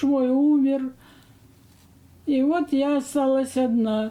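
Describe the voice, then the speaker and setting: With a dark, mellow tone and a high pitch, a woman speaks at a very slow pace in fairly even intonation. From Kazakhstan. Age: 80s+. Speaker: war home-front veteran. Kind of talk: interview, reminiscing. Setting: at home, bedroom.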